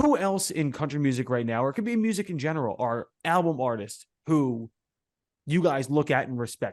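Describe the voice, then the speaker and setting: A man with a Philadelphia accent talks at a very fast pace. His intonation is lively, and the background is quiet. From Philadelphia, US Northeast. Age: 30s. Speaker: podcast host and musician. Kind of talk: casual interview chat.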